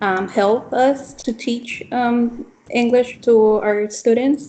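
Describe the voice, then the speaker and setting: A woman with a Spanish accent, fairly even intonation and noticeable background noise. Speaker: teacher trainee. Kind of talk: casual discussion between classmates. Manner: halting, many ums.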